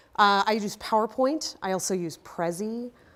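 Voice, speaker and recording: Her voice sits at a fairly high pitch, and this woman's intonation is lively. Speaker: university instructor. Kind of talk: presentation to colleagues. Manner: hesitant, many fillers.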